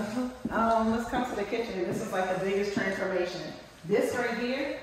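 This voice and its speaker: A woman speaks at a moderate pace with ordinary pitch variation, in a room with strong echo and light background noise. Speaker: owner showing her renovated rental unit. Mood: excited and proud. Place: home room. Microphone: phone near.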